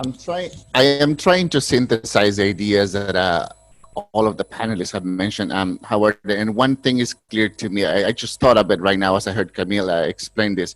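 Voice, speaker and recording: Recorded dry and close with no echo, a man with a Spanish accent talks at a moderate pace, his pitch fairly low with ordinary variation. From Spanish-speaking country. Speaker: panelist, educator. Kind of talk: panel discussion.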